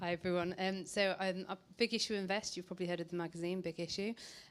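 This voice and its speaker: A woman talks at a very fast pace with a northern English accent. Her voice sits fairly low, and her intonation stays fairly even. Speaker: social investor. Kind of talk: panel presentation.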